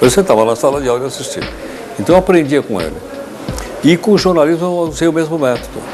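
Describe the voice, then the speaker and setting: With music in the background, a man with a fairly high voice talks very fast, pausing often and at length. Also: lively intonation. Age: 60s. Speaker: journalist, former history teacher. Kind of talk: interview. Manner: halting, repeats words.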